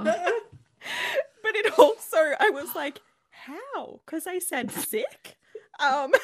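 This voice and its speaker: A woman with an Australian accent, extremely high pitch, very wide pitch swings, big swings in loudness and a very slow pace. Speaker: podcast host. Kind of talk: casual, conversational.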